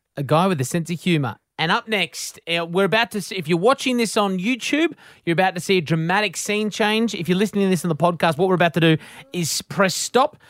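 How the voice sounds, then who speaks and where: A man's high-pitched voice with an Australian accent at a very fast pace. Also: ordinary pitch variation, dry, close sound with no echo. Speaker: podcast co-host. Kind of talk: casual interview chat.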